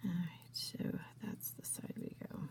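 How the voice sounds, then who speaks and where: Through very wide pitch swings and vocal fry, a woman speaks at a medium pitch. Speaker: craft tutorial maker. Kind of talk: tutorial. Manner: casual, hesitant with fillers.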